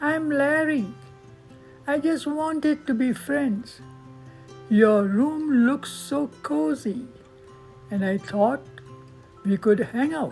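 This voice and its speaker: A put-on, squeaky, female-sounding character voice, high in pitch, at a very slow pace with long, frequent pauses over clear music in the background. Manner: friendly, curious.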